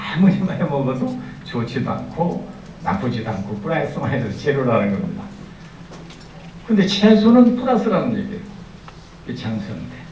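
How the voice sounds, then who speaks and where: A fairly high-pitched male voice with very wide pitch swings, a fairly quick pace and long, frequent pauses, over noticeable background noise and audible room echo. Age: 60s. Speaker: university speaker. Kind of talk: speech to audience.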